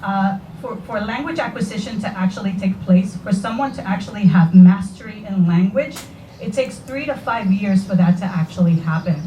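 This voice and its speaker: In a Spanish accent, the speaker talks at a moderate pace with lively intonation against noticeable background noise. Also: woman. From Puerto Rico. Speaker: parent speaking at public forum. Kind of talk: public forum comment.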